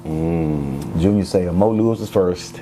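A man speaks with an American accent and a very deep, low pitch. Noticeable background noise runs under his voice. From Houston, Texas. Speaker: athletic director and former NFL player. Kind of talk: interview conversation.

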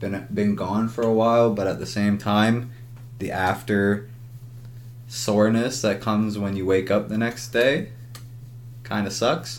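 In a Canadian accent, a man speaks fairly slowly with fairly even intonation and long, frequent pauses, and audible room echo. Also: fairly low pitch for a man. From Ontario, Canada. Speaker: podcast co-host. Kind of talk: casual chat.

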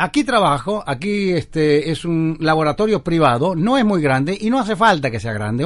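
A man with a fairly high pitch lets his voice swing very widely up and down. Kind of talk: interview answers. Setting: remote link from home studio. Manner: fast.

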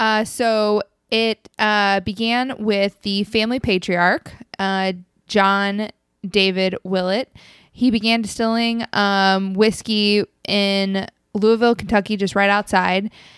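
On a very clean recording with a silent background, a woman speaks at a very slow pace in a medium pitch with monotone, flat intonation and a dry, close sound with no echo. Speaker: podcast host. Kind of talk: casual chat.

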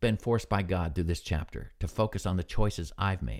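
In a very clean recording with a silent background, a man with an American accent speaks at a very deep, low pitch in a relaxed tone, with lively intonation and vocal fry. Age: 60s. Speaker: Bible devotional podcaster, retired military. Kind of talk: devotional. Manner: relaxed, conversational, reflective, with filler words.

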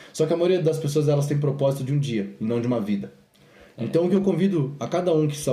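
Over noticeable background noise, a man with a fairly high pitch talks at a very fast pace with lively intonation. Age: 20s. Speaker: podcast host and fitness business owner. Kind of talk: casual chat.

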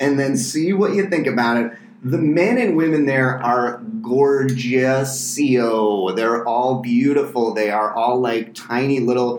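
A man with an American accent talks at a very slow pace and very even loudness. Noticeable background noise and audible room echo sit behind him. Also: medium pitch for a man, ordinary pitch variation. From US East Coast. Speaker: comedian. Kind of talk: casual chat.

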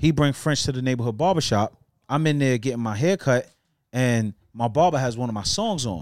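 Speaking at a fairly quick pace, a man with a normal speaking voice and medium pitch uses lively intonation, on a very clean recording with a silent background. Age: 30s. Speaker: podcast host. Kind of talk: casual podcast chat.

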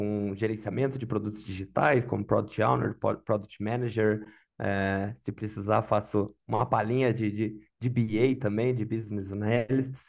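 This is an unremarkable speaking voice at a fairly slow pace. It has hardly any pauses and fairly even intonation. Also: man, fairly low pitch for a man. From Brazil, Santa Catarina highlands (Lages area). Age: 30s. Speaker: product manager job seeker. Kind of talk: mock job interview, casual.

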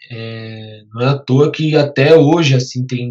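Medium in pitch, the man's voice is somewhat breathy. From Brazil, Guarulhos (São Paulo area). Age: 20s. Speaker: photographer. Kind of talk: interview. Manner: halting, repeats words.

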